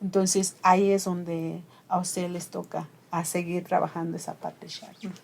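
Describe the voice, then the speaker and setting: A woman's fairly low, somewhat breathy voice at a moderate pace, monotone and flat in intonation. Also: big swings in loudness. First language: Ayuuk (Mixe) (speaking Spanish). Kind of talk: interview conversation.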